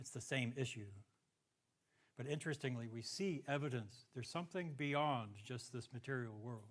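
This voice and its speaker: A man with an American accent, medium pitch and a somewhat breathy, animated voice at a moderate pace, with ordinary pitch variation, long, frequent pauses and audible room echo. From US Southwest, New Mexico. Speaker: lecturer, applied mathematician. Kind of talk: public lecture. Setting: talk with live audience. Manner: animated, conversational.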